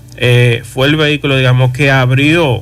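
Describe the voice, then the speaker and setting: A man talks with fairly even intonation. Noticeable background noise can be heard. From Dominican Republic, Moca family roots. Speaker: electric car dealer. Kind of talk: radio interview.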